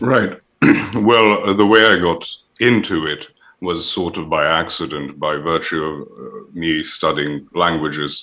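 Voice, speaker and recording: This man has a very deep, low pitch and a bright, sharp tone. His pitch varies in an ordinary way. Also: fairly slow pace. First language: Serbian. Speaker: guest commentator. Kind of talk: casual discussion.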